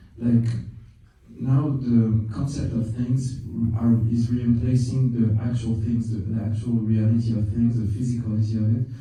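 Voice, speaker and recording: In a room with audible echo and noticeable background noise, a man speaks at a moderate pace with monotone, flat intonation. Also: medium pitch for a man. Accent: French. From France. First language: French. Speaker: film director. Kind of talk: interview. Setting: film festival. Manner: halting, many repetitions.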